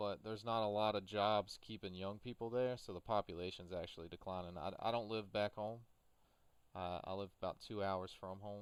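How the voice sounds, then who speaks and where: His intonation is fairly even. This man speaks at a fairly low pitch. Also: fairly quick pace. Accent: Appalachian. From US South, Appalachian southwest Virginia. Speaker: gaming streamer. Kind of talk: casual chat while livestreaming a farming game.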